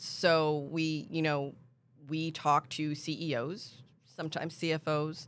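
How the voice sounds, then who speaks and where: A woman speaks with an American accent in a very deep, low pitch. Her intonation is monotone and flat, and her pace fairly slow. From Pennsylvania. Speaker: employee benefits consultant. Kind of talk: casual interview.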